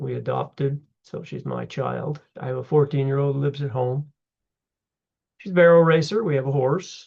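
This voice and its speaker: A man's somewhat breathy voice at a fairly high pitch, moderate pace, fairly even intonation and big swings in loudness. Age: 70s. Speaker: history instructor. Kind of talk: lecture; casual self-introduction. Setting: recorded on computer for online class. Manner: casual, halting.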